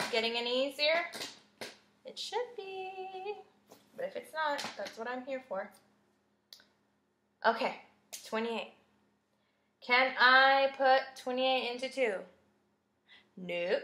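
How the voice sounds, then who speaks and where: The voice is raised and projected, with very wide pitch swings and big swings in loudness. Delivery is very slow, broken by long, frequent pauses. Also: woman, high pitch for a woman. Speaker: math teacher. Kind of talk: tutorial.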